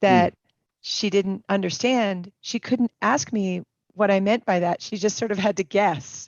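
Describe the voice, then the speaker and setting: At a fairly slow pace, a woman uses an ordinary speaking voice of medium pitch with ordinary pitch variation. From US Northeast. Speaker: workshop participant. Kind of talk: casual group discussion.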